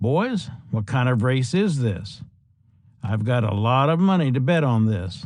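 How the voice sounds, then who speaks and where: Putting on a whiny character voice with a Southern US accent, a man speaks at a moderate pace and medium pitch with lively intonation. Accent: southern drawl. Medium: read story.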